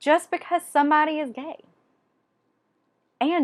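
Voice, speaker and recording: A woman with a Southern US accent, fairly slow pace and lively intonation, on a very clean recording with a silent background. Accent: Southern US (Georgia). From Georgia, US South. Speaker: book vlogger. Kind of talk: casual monologue. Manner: animated.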